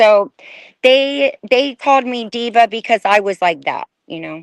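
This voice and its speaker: In an ordinary speaking voice, a woman with fairly high pitch talks at a fairly slow pace, her intonation lively and her loudness swinging widely, in a dry, close sound with no echo. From Bulgaria, raised in US from age 4-5. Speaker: former fashion model. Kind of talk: interview testimony.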